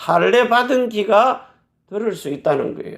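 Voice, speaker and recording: A man speaks loudly. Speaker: pastor. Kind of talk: sermon.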